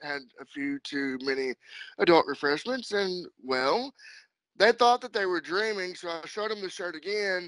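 A man's high-pitched voice with lively intonation at a moderate pace, dry with no echo against a quiet background. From Kentucky. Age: 30s. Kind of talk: casual interview chat. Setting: phone or video call. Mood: relaxed, friendly. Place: home room. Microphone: video call.

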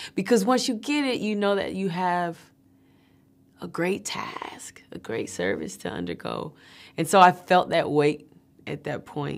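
Her intonation lively, a woman is speaking. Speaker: actress promoting a film. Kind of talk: interview answer. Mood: reflective, earnest, some laughs. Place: hall.

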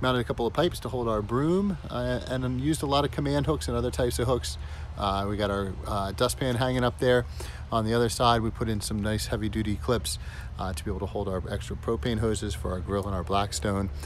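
A man talks at a very fast pace with a fairly low pitch and very wide pitch swings. The sound is dry with no echo, with light background noise. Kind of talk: casual tour narration. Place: street. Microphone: phone near.

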